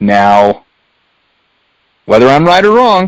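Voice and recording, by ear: Slow speech with big swings in pitch, a clear, smooth tone and a dry, close sound with no echo. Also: man, medium pitch for a man.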